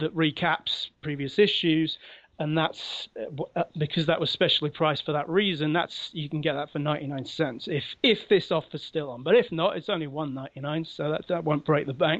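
The speech carries a London accent. The pace is moderate. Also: man, fairly high pitch for a man, ordinary pitch variation, quiet background. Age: 40s. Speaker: comic book writer. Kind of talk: interview. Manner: halting.

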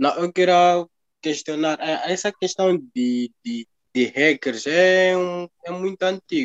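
The speaker talks at a very slow pace with lively intonation. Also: man, high pitch for a man. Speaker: blogger. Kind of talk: casual chat. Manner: halting.

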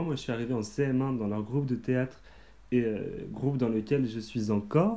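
This man speaks at a moderate pace and a medium pitch, with a dark, mellow tone and fairly even intonation. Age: 20s. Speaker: theatre company member, student. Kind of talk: casual chat.

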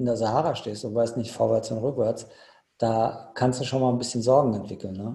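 This man's medium-pitched voice has a dark, mellow tone and comes across somewhat breathy. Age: 50s. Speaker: ultra trail runner. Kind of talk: casual chat.

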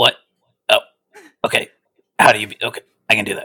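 Very fast and raspy, a man rattles off lines in a put-on character voice. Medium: actual play. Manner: cheerful, rambling, oblivious.

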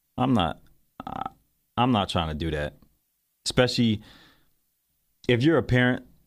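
On a very clean recording with a silent background, a man speaks at a moderate pace with vocal fry and an animated tone. His pitch swings very widely, and he takes long, frequent pauses. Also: medium pitch for a man. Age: 30s. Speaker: podcast host. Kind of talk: solo commentary podcast.

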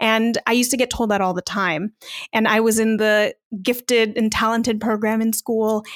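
A woman with a Californian accent speaks at a moderate pace in a fairly high pitch with monotone, flat intonation. The recording is very clean with a silent background and a dry, close sound lacking echo. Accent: Californian American English. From US West Coast, Long Beach, California. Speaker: podcaster and entrepreneur. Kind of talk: casual interview.

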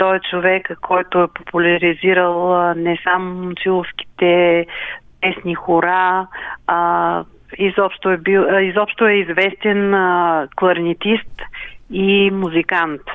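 A woman at a very slow pace, medium in pitch, with monotone, flat intonation. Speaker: community cultural centre secretary. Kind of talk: radio interview.

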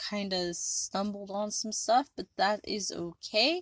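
A woman's fairly high, animated voice at a fairly slow pace, with ordinary pitch variation, a quiet background, and a dry, close sound with no echo. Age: 30s. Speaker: podcast host. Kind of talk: casual solo monologue.

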